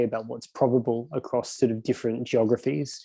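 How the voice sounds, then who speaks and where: Speaking fairly quickly with an Australian accent, a man uses a dark, mellow tone and fairly even intonation. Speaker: economic researcher. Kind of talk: conference presentation. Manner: hesitant, many fillers and repetitions.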